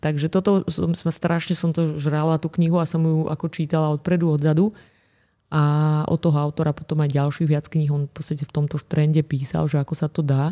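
A woman's very deep, low voice with a dark, mellow tone, flat monotone intonation and very even loudness, fairly quick in pace, dry and close with no echo against a quiet background. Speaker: nutrition expert. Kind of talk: interview.

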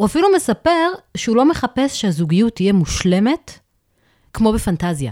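A woman's dark, mellow tone at a moderate pace, with very wide pitch swings, very even loudness and a dry, close sound with no echo. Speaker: social worker and therapist. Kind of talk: expert advice discussion.

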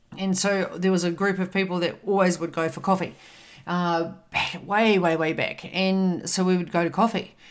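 Speaking at a moderate pace, a woman has a medium pitch. Her recording is very clean, the background silent. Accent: New Zealand. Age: 50s. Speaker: podcast host and wellness coach. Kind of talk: motivational talk. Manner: animated.

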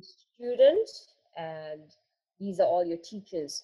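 This woman's voice is medium in pitch, somewhat breathy, with a dark, mellow tone. Her intonation is lively. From South Africa. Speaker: attorney. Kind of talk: interview.

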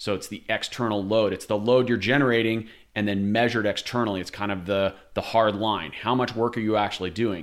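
A man speaks at a fairly quick pace with fairly even intonation. His pitch is fairly low. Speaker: podcast host. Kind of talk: interview conversation. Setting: recorded at home, echoey. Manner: playful, wordy, humorous.

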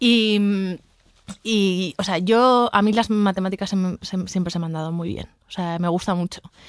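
A woman's medium-pitched voice at a fairly slow pace, an ordinary speaking voice, over a quiet background. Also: fairly even intonation. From Basque Country, Spain. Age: 30s. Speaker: real estate investment director and painter. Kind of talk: casual interview.

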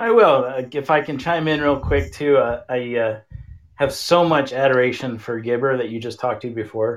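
A man has an ordinary speaking voice at a medium pitch. He speaks at a moderate pace against a quiet background. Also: ordinary pitch variation. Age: 50s. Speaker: hockey camp coach. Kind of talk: interview. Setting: online call-in. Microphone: no headphones, connection issues.

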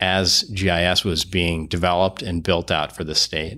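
On a very clean recording with a silent background, a man speaks at a moderate pace in a very deep, low pitch, his tone bright and sharp and his intonation monotone and flat. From Vermont, East Barnard. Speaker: state road mapping official, road historian. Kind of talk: interview, explanatory. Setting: office.

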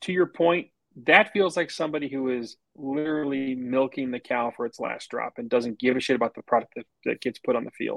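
A man speaks in a plain, everyday voice with ordinary pitch variation. The sound is dry and close, with no echo. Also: medium pitch for a man. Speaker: business development professional and wine enthusiast. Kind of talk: casual interview chat.

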